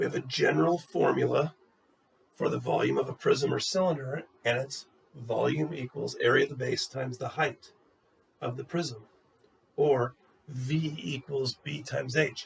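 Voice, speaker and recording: Using a put-on character voice, a man sounds hoarse at a fairly high pitch, going at a moderate pace with long, frequent pauses. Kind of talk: teaching, explanatory.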